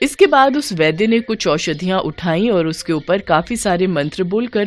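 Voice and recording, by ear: A woman's fairly low voice at a moderate pace, with lively intonation.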